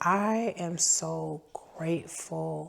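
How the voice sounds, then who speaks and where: A woman with a fairly low voice talks amid noticeable background noise. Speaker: food truck owner and vlogger. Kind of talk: story time vlog.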